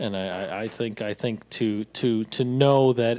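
In a very clean recording with a silent background, a man speaks at a very slow pace with a fairly low pitch and ordinary pitch variation. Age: 40s. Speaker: podcast co-host. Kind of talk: casual chat.

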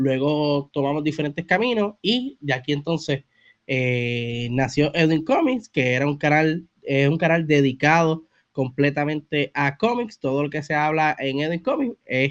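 Delivered in a Puerto Rican accent, the speech moves at a fairly slow pace with ordinary pitch variation and a dry, close sound with no echo. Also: man, fairly high pitch for a man. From Puerto Rico (Bayamón). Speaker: comics content creator. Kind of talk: casual interview chat.

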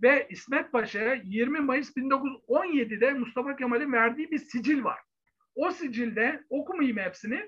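A man speaks in an extremely high voice at a very slow pace. His pitch varies in an ordinary way. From Turkey, Bursa. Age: 50s. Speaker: historian. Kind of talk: interview. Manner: halting, many fillers.

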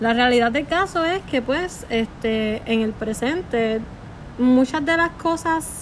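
A high-pitched woman amid noticeable background noise. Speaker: psychology student. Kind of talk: casual explanation. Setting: friend's house.

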